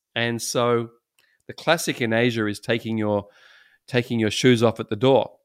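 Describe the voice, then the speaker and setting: A man's medium-pitched voice with an Australian accent, monotone and flat in intonation, broken by long, frequent pauses, in a very clean recording with a silent background. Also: moderate pace. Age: 60s. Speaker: pastor. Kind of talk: casual chat.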